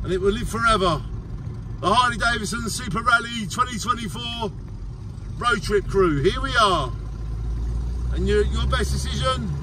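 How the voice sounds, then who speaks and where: Against noticeable background noise, a man speaks at a moderate pace with long, frequent pauses in a dry sound with no echo. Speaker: vlogger. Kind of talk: casual vlog chat. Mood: excited, enthusiastic. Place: car. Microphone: phone near.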